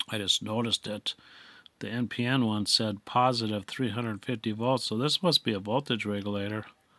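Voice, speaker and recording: This man speaks at medium pitch with fairly even intonation and a bright, sharp tone. The recording is very clean, dry and close, with a silent background and no echo. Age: 60s. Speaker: electronics hobbyist. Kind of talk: casual tutorial. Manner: halting.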